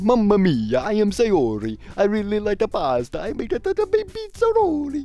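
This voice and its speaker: Someone speaks at a moderate pace in a put-on character voice, with faint music in the background. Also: man, high pitch for a man. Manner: exaggerated, playful.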